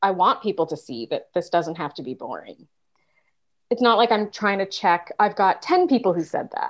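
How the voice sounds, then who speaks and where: A woman's medium-pitched voice at a moderate pace, with lively intonation, big swings in loudness, and a quiet background. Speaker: podcast co-host, leadership trainer. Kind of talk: casual chat.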